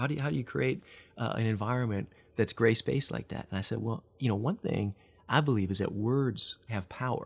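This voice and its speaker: Speaking at a fairly quick pace in a Midwestern American accent, a man uses ordinary pitch variation. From US Midwest. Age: 40s. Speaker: nonprofit leader. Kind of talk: casual interview. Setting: studio.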